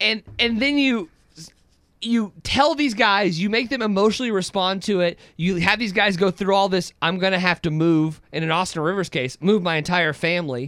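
A bright, sharp tone with lively intonation at a moderate pace. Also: man, high pitch for a man. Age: 20s. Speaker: sports podcast co-host. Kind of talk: postgame sports talk show.

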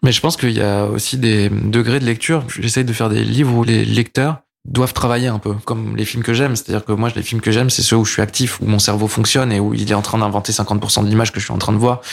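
On a very clean recording with a silent background, a man of medium pitch talks at a very fast pace with fairly even intonation. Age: 30s. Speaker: comic artist and filmmaker. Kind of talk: casual interview chat. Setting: his production company offices.

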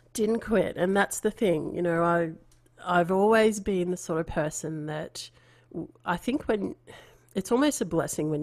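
A woman's medium-pitched voice with an Australian accent, lively intonation and a fairly slow pace. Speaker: artist and podcast host. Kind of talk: interview.

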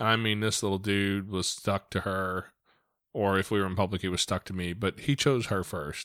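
Using an ordinary speaking voice, a man speaks at a moderate pace and fairly low pitch with fairly even intonation, in a very clean recording with a silent background. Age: 40s. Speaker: podcast host. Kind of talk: casual interview.

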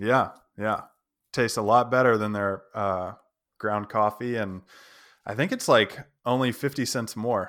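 A man with an American accent speaks at a medium pitch and a fairly slow pace, his intonation fairly even. He takes long, frequent pauses on a very clean recording with a silent background. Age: 30s. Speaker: podcast host, landscape photographer. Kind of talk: casual interview.

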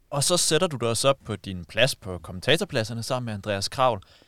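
A man speaks in a normal speaking voice at a medium pitch and a fairly quick pace, with lively intonation. The recording is very clean with a silent background and a dry, close sound with no echo. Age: 30s. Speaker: podcast host. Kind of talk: interview.

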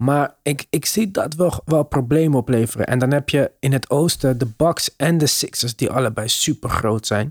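Delivered in a plain, everyday voice at a moderate pace with hardly any pauses, the speech has ordinary pitch variation, very even loudness, and a dry, close sound with no echo. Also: man, fairly high pitch for a man. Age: middle-aged. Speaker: basketball podcast host. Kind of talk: casual chat.

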